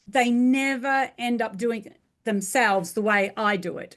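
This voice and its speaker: A woman with an Australian accent and a fairly high pitch, over a quiet background. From rural Australia. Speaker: franchising business coach. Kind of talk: interview.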